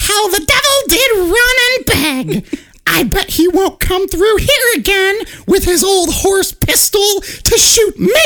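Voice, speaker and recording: A female-sounding, put-on character voice speaks at an extremely high pitch for a woman. The pace is fairly slow. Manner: shrill, spiteful.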